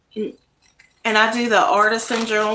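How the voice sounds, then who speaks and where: Her voice is fairly high-pitched for a woman. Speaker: craft YouTuber. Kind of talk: casual live-stream chat. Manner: speaking louder than usual.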